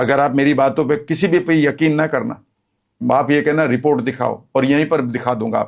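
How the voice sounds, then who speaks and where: A man with a fairly high pitch talks in an ordinary speaking voice with fairly even intonation. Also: very even loudness. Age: 60s. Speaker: health and wellness speaker. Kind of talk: interview.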